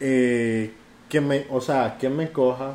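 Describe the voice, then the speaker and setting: A man's medium-pitched voice, fairly even in intonation, a plain, everyday voice. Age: 20s. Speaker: podcast guest. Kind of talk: casual chat.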